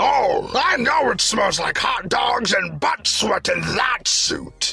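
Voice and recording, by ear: A man's put-on character voice at a very slow pace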